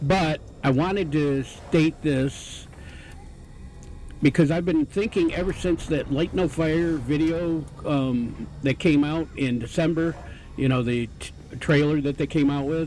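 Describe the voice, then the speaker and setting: Mumbling, a man speaks at a fairly slow pace. His pitch is fairly high and his intonation fairly even. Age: old. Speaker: retired gamer and video game commentator. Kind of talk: casual gameplay commentary. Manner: rambling, hesitant, mumbling.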